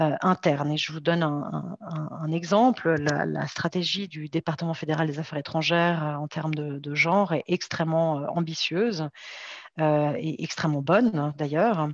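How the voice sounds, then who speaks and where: Very deep, low-pitched voice of a woman, with ordinary variation in pitch. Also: moderate pace. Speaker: development cooperation gender specialist. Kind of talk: online conference talk. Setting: online video conference. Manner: halting, many fillers and repetitions.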